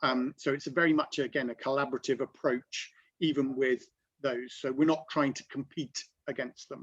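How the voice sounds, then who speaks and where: At a moderate pace, a man with a London accent speaks in a flat monotone at a medium pitch, with a dry, close sound and no echo. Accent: southern English (London). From London, England. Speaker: business network founder. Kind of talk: online presentation. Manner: hesitant, many fillers.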